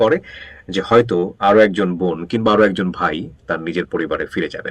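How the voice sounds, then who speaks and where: The speaker is male. His voice sits very deep and low. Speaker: radio host. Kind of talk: show introduction.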